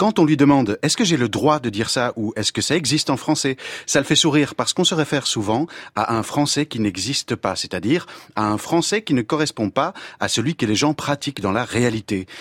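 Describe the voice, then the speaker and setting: Recorded very cleanly with a silent background and a dry, close sound with no echo, a man with an unremarkable speaking voice and medium pitch talks at a fairly quick pace. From Belgium. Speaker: former French teacher, language columnist. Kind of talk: scripted radio column.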